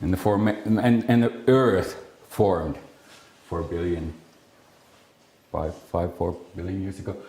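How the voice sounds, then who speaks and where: A man talks at a fairly slow pace in a very deep, low voice that is somewhat breathy, with ordinary pitch variation. Long, frequent pauses break up his speech, and room echo is audible. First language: Finnish. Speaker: speech scientist. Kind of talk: lecture. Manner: halting, many fillers and restarts.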